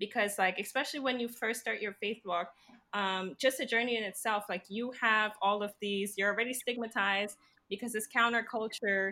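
This woman has a normal speaking voice and a fairly high pitch. She talks at a moderate pace. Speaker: co-founder of a faith ministry, public administration grad student. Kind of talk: casual chat.

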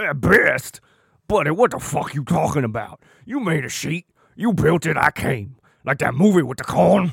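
Putting on a raspy character voice, a man talks at a moderate pace in a fairly high pitch. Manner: brash, argumentative, streetwise.

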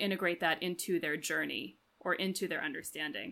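The speaker has an American accent and ordinary pitch variation, moving at a fairly quick pace. The recording is very clean, with a silent background. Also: woman. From Washington, D.C. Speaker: actor, musician and teacher, podcast co-host. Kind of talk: casual chat. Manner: halting, many fillers.

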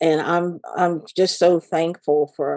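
Very slowly, a woman speaks in a fairly low pitch with a dark, mellow tone, the sound dry and close with no echo. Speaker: lay minister. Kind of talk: casual chat.

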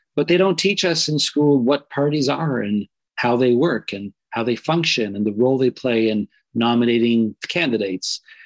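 A man with a Canadian accent and a normal speaking voice talks at a moderate pace and medium pitch, his intonation lively and the sound dry and close with no echo. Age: 40s. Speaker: community organizer and activist. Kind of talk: interview.

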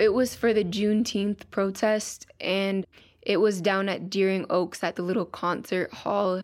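At a fairly slow pace, a woman talks at a medium pitch with monotone, flat intonation. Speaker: young poet. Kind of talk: poetry reading and interview.

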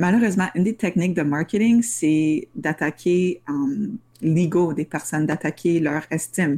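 In a very clean recording with a silent background, a woman speaks at a fairly slow pace. Her voice is fairly low, with a dark, mellow tone and ordinary pitch variation. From Ottawa, Ontario (Franco-Ontarian). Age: young. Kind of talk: interview.

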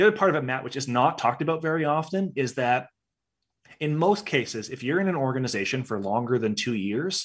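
In a very clean recording with a silent background, a man with an ordinary speaking voice talks at a fairly quick pace, his fairly high pitch showing lively intonation. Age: 30s. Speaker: HR consultancy founder and CEO. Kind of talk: interview conversation.

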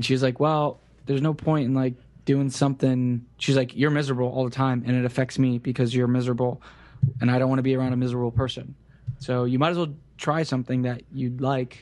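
This man has an American accent and a medium pitch. He talks very fast in a flat, monotone way. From US South, Central Florida (Kissimmee). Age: 20s. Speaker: web developer. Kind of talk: casual interview.

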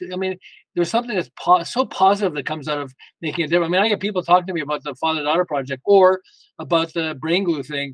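Very fast and high-pitched, a man speaks with ordinary pitch variation in a dry, close sound with no echo. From Quebec, Montreal. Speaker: author and founder of a fathers and daughters project. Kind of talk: casual interview.

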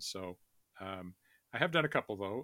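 On a very clean recording with a silent background and a dry, close sound with no echo, a man speaks at fairly low pitch in a bright, sharp tone. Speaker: fantasy and sci-fi author. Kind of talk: interview, casual chat. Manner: hesitant, with fillers.

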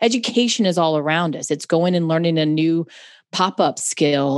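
This woman has an unremarkable speaking voice with an American accent and a fairly low pitch. She talks at a moderate pace with ordinary pitch variation over a quiet background. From US South, Charlotte, North Carolina. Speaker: computer science educator. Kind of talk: casual interview chat.

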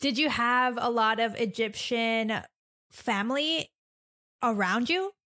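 A woman speaks at a very slow pace with long, frequent pauses, her pitch fairly high and her tone bright and sharp. Her loudness stays very even, with ordinary pitch variation. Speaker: podcast host and illustrator. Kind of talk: casual interview chat.

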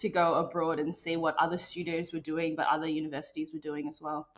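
With an Australian accent, a woman speaks at a fairly low pitch. Her intonation is flat and monotone. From Melbourne, Australia. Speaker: interactive designer and developer. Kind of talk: casual interview chat.

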